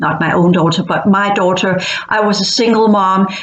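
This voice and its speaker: A woman with a Danish accent at a moderate pace, monotone and flat in intonation, with audible room echo and noticeable background noise. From Denmark. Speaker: online educator / futurist channel host. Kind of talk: monologue talk to camera. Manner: halting, frequent repetitions.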